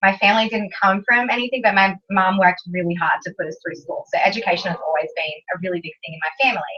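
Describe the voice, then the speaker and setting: In an Australian accent, a woman speaks at a very fast pace with a medium pitch and lively intonation. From Australia (Canberra). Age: 20s. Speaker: business presenter. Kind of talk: motivational talk to an audience. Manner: animated.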